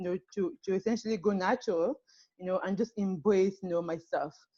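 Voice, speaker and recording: In a French accent, a woman speaks with a dark, mellow tone. Her pace is fairly quick and her intonation fairly even. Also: dry, close sound with no echo. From Cameroon. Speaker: panelist sharing life story. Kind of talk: personal testimony. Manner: halting, many fillers.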